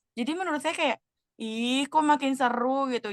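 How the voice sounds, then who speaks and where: A woman speaks with ordinary pitch variation. The sound is dry and close with no echo, over a quiet background. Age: 20s. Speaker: role-play counseling client, student. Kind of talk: role-play counseling session. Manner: casual, hesitant with fillers.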